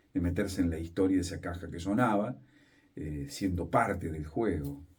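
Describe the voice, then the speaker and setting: A man's dark, mellow, somewhat breathy tone. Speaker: radio announcer and journalist. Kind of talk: interview answer.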